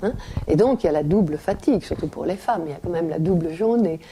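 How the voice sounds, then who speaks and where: A woman talks with lively intonation. Noticeable background noise runs behind her. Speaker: writer and former teacher. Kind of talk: interview answer.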